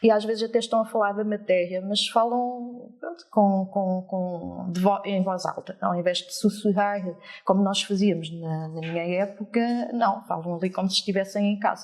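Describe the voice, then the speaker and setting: There is noticeable background noise as a woman speaks at a moderate pace with medium pitch and fairly even intonation. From France until about 8, then Portugal. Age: 40s. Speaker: teacher. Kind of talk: interview. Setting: live audience.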